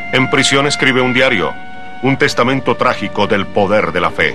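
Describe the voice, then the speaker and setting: A man's medium-pitched voice at a moderate pace, very even in loudness, with ordinary pitch variation and music in the background. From Colombia. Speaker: voice-over announcer. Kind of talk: documentary narration.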